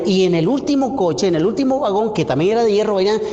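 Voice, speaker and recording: A man with a Colombian Caribbean accent speaks at a high pitch with lively intonation, amid noticeable background noise and audible room echo. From Colombia, Caribbean coast (Cesar). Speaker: pastor. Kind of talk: sermon. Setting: church. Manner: halting, repeats words.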